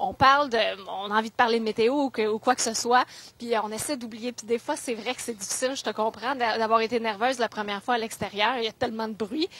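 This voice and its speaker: A woman at a very fast pace, with fairly even intonation. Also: fairly high pitch for a woman. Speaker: TV weather presenter. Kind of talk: advice talk to schoolchildren. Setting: school visit. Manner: warm, encouraging.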